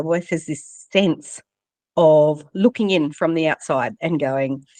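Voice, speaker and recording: A normal speaking voice at a moderate pace, with ordinary pitch variation and a dry, close sound with no echo. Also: woman. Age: 50s. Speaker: leadership coach and author. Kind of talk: interview.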